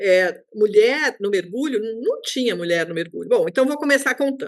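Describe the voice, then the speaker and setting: High-pitched female speech with lively intonation. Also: moderate pace. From Brazil, São Paulo. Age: 60s. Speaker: underwater photographer. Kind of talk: interview, personal storytelling. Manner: animated.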